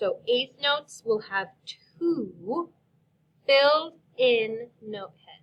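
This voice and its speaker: A woman speaks in a high voice with lively intonation and big swings in loudness. Her pace is very slow, with long, frequent pauses. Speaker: elementary music teacher. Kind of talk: tutorial. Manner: slow, clear.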